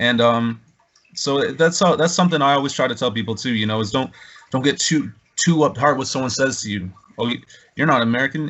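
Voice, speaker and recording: An unremarkable speaking voice from a man, medium in pitch and fairly quick, with ordinary pitch variation. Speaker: podcast host. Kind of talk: casual podcast conversation.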